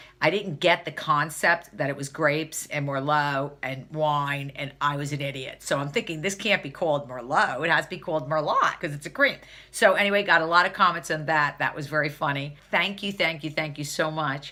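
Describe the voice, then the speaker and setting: A loud, animated voice moves at a fairly quick pace with hardly any pauses and ordinary pitch variation. Noticeable background noise sits underneath. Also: woman, very deep, low pitch for a woman. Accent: New Jersey. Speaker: beauty vlogger. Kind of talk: casual vlog tutorial.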